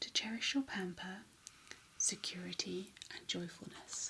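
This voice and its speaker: Soft-spoken, a woman talks at a fairly slow pace. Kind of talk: tarot card reading.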